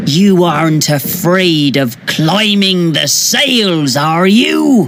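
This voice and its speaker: A put-on character voice speaks at a very slow pace and a middle pitch. Clear background noise runs underneath. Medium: read story. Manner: loud, gruff, shouting.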